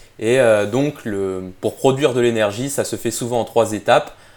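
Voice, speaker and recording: Fairly even intonation carries speech at a moderate speed. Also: man. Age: 20s. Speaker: nutrition and exercise science specialist. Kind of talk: casual chat. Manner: halting.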